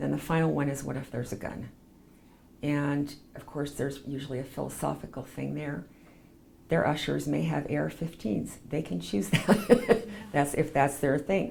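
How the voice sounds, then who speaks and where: A woman speaks at a moderate pace with a Western US accent and vocal fry. Her very deep, low pitch swings very widely. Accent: Western American. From Provo, Utah. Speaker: chaplain and PR business owner. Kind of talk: oral history interview answer.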